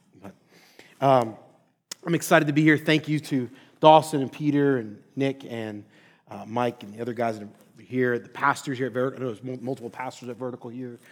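Over a very clean recording with a silent background, a man in a normal speaking voice talks at a fairly quick pace and medium pitch, with fairly even intonation and big swings in loudness. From Philadelphia, Pennsylvania. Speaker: pastor and seminary professor. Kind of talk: sermon-style lecture.

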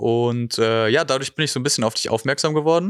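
A man with an unremarkable speaking voice talks at a moderate pace, his medium pitch showing ordinary variation. The recording is very clean and the background silent. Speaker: podcast host. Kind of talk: casual interview. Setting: studio.

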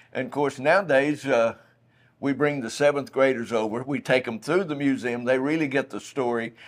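Recorded very cleanly against a silent background, a man with an East Texas accent speaks at a moderate pace and medium pitch with ordinary pitch variation. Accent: East Texas Southern US. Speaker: museum guide. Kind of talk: guided museum tour interview. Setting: museum.

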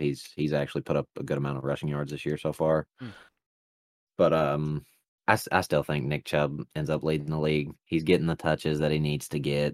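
In a Southern US accent, a man speaks fairly quickly at a very deep, low pitch, his intonation monotone and flat, the sound dry and close with no echo. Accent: Southern US, noticeable. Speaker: podcast host. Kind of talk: casual sports chat. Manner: joking, rambling.

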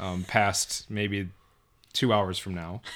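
A man speaks with a Minnesota accent. His pace is fairly slow. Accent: Upper Midwest (Minnesota) American. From southern Minnesota, Mountain Lake. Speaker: engineer, podcast guest. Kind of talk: casual chat.

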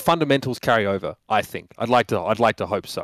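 A man with an Australian accent at medium pitch and a very fast pace, dry and close with no echo, on a very clean recording with a silent background. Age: 30s. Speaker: esports caster. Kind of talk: casual chat.

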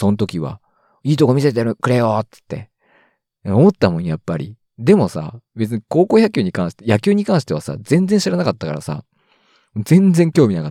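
A man's dark, mellow voice at medium pitch, with very wide pitch swings and big swings in loudness, at a moderate pace, dry and close with no echo, on a very clean recording with a silent background. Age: 30s. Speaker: solo podcaster. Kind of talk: casual solo monologue.

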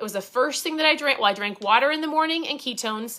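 A woman speaks with an Upper Midwest accent and lively intonation. Her tone is animated, bright and sharp. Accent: Upper Midwest American. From Minnesota. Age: 40s. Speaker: podcast host and keto coach. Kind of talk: casual livestream talk.

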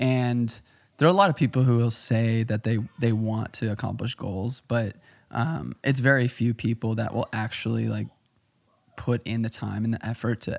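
A man with an American accent and a plain, everyday voice speaks at medium pitch with ordinary pitch variation, the sound dry and close with no echo. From Chicago, US Midwest. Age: 20s. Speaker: photographer, filmmaker and amateur runner. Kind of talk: casual podcast interview.

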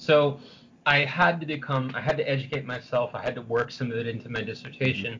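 Talking at a very fast pace, a man with an American accent keeps a medium pitch and fairly even intonation. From San Francisco, US. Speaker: historian and novelist. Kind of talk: interview. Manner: halting, many repetitions.

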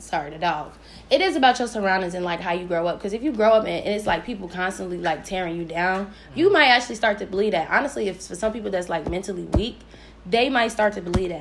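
A very fast, animated woman with lively intonation and an American accent. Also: medium pitch for a woman. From US Midwest, Chicago. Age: 20s. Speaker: podcast host. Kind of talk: casual chat.

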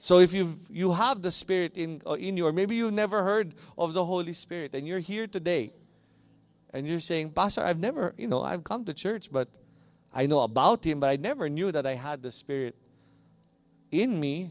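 A man's high-pitched voice at a moderate pace, with lively intonation. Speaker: pastor. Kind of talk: sermon; mock infomercial pitch in a sermon. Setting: church. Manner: passionate, audience-engaging.

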